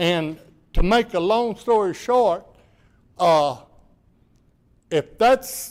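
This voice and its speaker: Speaking very slowly with long, frequent pauses, a man uses a high pitch and lively intonation. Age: 70s. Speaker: public commenter. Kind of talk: public comment at council meeting. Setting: city council meeting.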